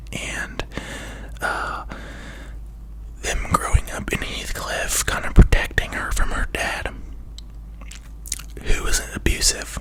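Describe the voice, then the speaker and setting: A woman whispers at a very slow pace, with long, frequent pauses and big swings in loudness. There is noticeable background noise. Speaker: ASMR content creator. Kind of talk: whispered ramble, casual talk to camera. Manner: whispered, soft, rambling, hesitant with fillers.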